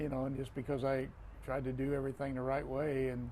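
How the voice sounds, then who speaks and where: A man speaks with an American accent. There is audible echo from the room. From Florida, US. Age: 60s. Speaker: retired football referee. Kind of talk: casual interview conversation.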